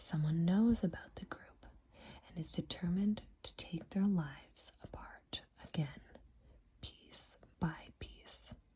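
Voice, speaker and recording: The speaker is soft-spoken and talks at a fairly slow pace. Long pauses come often. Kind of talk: ASMR book review, soft spoken. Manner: soft-spoken, quiet.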